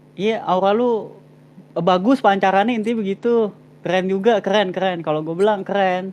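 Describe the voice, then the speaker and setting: At a moderate pace, a man speaks at a high pitch with fairly even intonation. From Jakarta, Indonesia (Betawi Chinese). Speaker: live stream host. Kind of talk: casual live stream chat. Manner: casual, slangy.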